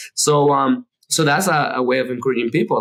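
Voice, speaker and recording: A man at a medium pitch with a Spanish accent, at a fairly quick pace. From Dominican Republic. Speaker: architect. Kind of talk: interview conversation. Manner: halting, many fillers and repetitions.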